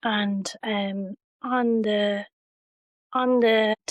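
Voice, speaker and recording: This voice has a Waterford Irish accent and fairly even intonation. The sound is dry and close, with no echo. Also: woman. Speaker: bereaved sister. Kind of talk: testimony. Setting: her home.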